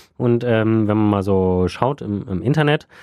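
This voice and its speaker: A man is speaking. His tone is dark and mellow. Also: dry, close sound with no echo. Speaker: podcast co-host. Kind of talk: casual chat.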